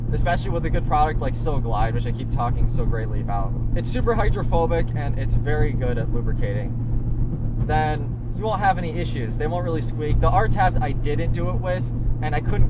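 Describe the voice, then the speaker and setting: Amid noticeable background noise and audible room echo, the speech comes at a fairly quick pace with monotone, flat intonation. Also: man. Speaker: car enthusiast vlogger. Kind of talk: casual vlog monologue while driving. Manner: fast.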